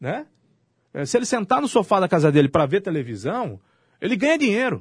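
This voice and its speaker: A man speaks against a quiet background. His pitch swings very widely. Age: 40s. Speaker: radio host. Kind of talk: casual radio debate.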